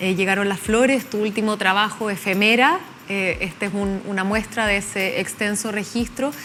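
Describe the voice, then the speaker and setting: A woman speaks at a moderate pace in a medium pitch. Noticeable background noise is present. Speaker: TV interviewer. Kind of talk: interview.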